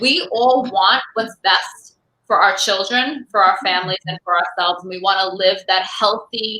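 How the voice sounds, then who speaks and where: A woman with an American accent and medium pitch, moderate pace, ordinary pitch variation and big swings in loudness. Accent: Brooklyn, comes out sometimes. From New York, Brooklyn. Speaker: online show host, activist. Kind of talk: casual chat.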